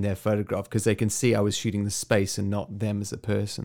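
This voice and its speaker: The pace is fairly quick. The recording is very clean, with a silent background. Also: man. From South Africa. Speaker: photographer and video creator. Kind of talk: recorded answers to interview questions. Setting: recorded voice message.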